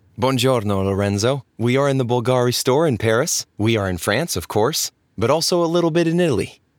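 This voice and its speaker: On a very clean recording with a silent background, a man speaks in an unremarkable speaking voice at medium pitch. His pace is fairly quick, his intonation lively, and he hardly pauses at all. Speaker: podcast host. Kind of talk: interview. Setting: recorded in a shop.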